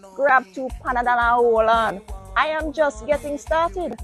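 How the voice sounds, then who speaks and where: With music in the background, a woman speaks at a moderate pace using lively intonation. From Jamaica. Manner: snarky, condescending.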